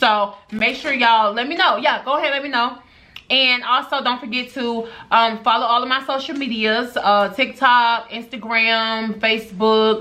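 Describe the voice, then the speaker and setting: Loud and high-pitched, a woman talks at a moderate pace with fairly even intonation. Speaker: beauty and lifestyle vlogger. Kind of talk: vlog unboxing with mic test.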